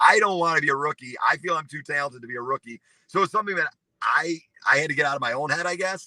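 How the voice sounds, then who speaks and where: Loud and animated, a man with a fairly high pitch talks at a very fast pace with ordinary pitch variation. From US Midwest, north of Chicago. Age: 40s. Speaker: real estate broker. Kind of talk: interview. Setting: live video stream.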